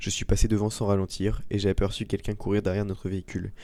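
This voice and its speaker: Fairly low in pitch, a man speaks at a very fast pace with a dark, mellow tone. The recording is very clean, with a silent background. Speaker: storytelling channel host. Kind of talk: reading aloud; casual commentary. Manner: slightly slurred articulation; hesitant with fillers.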